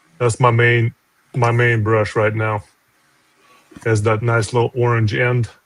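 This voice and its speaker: Speaking in a Russian accent, a man talks at a fairly slow pace with medium pitch, monotone, flat intonation, very even loudness, and long, frequent pauses. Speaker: comic artist. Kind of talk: casual chat.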